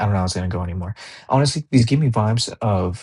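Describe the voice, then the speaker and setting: Speaking at a very fast pace, a man with a fairly low, somewhat breathy voice uses ordinary pitch variation. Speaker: basketball commentator YouTuber. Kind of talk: casual solo commentary vlog. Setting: home recording late at night. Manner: casual, profane.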